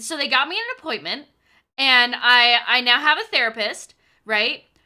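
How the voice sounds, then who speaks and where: A raised, projected voice with an animated, bright, sharp tone in a very clean recording with a silent background. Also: woman. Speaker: streamer. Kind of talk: casual chat. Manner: loud.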